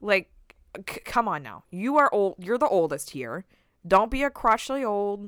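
A woman with an American accent speaks at a medium pitch, her pitch swinging very widely and her loudness rising and falling a lot. The recording is very clean, with a silent background and a dry, close sound with no echo. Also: moderate pace. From US West Coast. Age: 20s. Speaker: podcast co-host. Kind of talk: casual chat.

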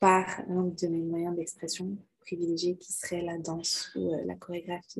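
Somewhat breathy, mid-range pitch from a woman, at a moderate tempo. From Quebec. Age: 20s. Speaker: dancer and choreographer. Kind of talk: interview.

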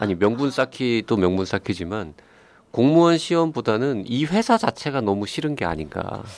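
Over a quiet background, a man talks at a moderate pace at medium pitch, his pitch swinging very widely. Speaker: psychiatrist and podcast host. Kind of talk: advice podcast chat, reads listener letter aloud.

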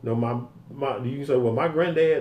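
The speaker sounds somewhat breathy at a moderate pace. The room echo is audible. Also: man. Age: 50s. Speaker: podcast co-host. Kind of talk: casual chat. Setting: studio.

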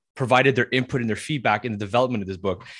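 A man talks at a very fast pace with a medium pitch and ordinary pitch variation. The background is quiet. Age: 20s. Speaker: podcast co-host. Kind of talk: casual interview.

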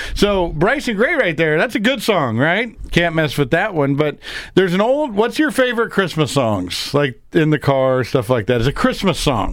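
A man talks in a high pitch and an animated tone, with very wide pitch swings and hardly any pauses. His loudness stays very even, and the recording is very clean with a silent background. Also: moderate pace. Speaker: radio talk show host. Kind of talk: casual political talk radio. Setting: studio.

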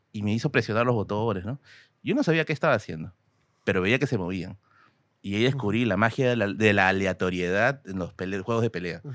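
A man talks fairly quickly, his fairly low voice showing ordinary pitch variation. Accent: Peruvian. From Peru, Tacna. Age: 30s. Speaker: history content creator. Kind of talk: casual chat.

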